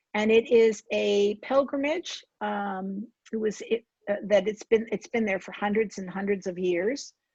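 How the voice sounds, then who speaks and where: Somewhat breathy and with an American accent, the speaker goes fairly slowly, with ordinary pitch variation, big swings in loudness and a dry, close sound with no echo. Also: woman, medium pitch for a woman. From New Jersey, Somerset County. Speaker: author. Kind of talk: author talk.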